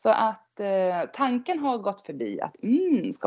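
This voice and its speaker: A woman speaks with very wide swings in pitch. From northern Sweden (Norrland, near Skellefteå). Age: 50s. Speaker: knitter. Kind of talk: casual chat.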